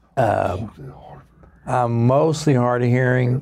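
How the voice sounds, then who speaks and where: A man is heard over noticeable background noise. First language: American Sign Language. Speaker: pastor and sign language interpreter. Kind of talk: interview, voicing signed answers. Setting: studio.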